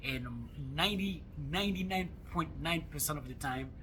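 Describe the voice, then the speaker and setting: In an Ivorian accent, a man talks at a moderate pace with audible room echo around him. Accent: Ivorian accent in French and Jula. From Ivory Coast. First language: French or Jula. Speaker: travel vlogger. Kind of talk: casual vlog monologue. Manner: halting, many fillers and repetitions.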